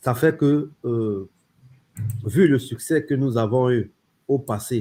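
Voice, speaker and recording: A man's dark, mellow tone at a medium pitch, somewhat breathy. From Cameroon. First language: French. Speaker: crypto company founder. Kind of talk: interview.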